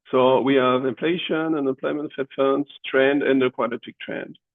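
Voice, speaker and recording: The man's voice sits fairly high as he speaks at a moderate speed. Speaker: economics professor. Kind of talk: tutorial. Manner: halting, many fillers.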